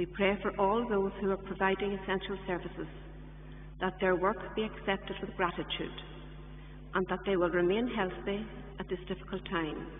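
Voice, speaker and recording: A woman speaks at a moderate pace in a monotone, flat way with long, frequent pauses, amid audible room echo and light background noise. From Ireland. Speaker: lay reader. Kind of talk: scripture reading and intercessory prayers, fervent. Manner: earnest, solemn, steady, pleading. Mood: solemn, measured. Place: church.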